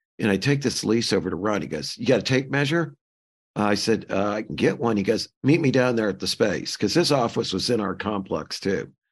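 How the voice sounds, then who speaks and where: With a fairly low pitch and lively intonation, a man talks at a fairly quick pace in a normal speaking voice. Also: quiet background. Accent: American. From US Midwest, St. Louis. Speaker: architecture firm consultant. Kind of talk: casual chat.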